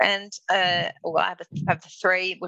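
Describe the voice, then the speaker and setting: A bright, sharp tone with an Australian accent at a fairly slow pace, dry and close with no echo. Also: woman. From Darwin, northern Australia. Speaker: milliner. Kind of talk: interview. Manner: halting, many fillers.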